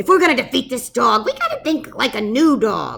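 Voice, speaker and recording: In a put-on character voice, a female-sounding voice goes squeaky and high for a woman at a fairly quick pace. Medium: read story. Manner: blustering, commanding.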